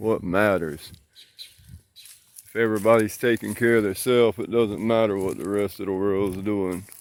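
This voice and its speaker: A man with a Southern US accent talks at a moderate pace in a fairly low pitch, his intonation fairly even, his loudness swinging widely and his pauses long and frequent. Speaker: gardening vlogger, fruit grower. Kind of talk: casual garden tour vlog.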